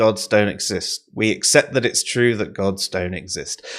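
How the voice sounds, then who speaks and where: A man speaks at a fairly slow pace with ordinary pitch variation. The recording is very clean, the background silent. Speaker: online talk show co-host. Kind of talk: casual chat. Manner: loud.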